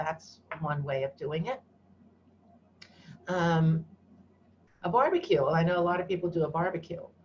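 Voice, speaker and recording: A woman speaks in a somewhat breathy voice, fairly low in pitch. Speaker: educator leading an online workshop. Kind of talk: online workshop presentation.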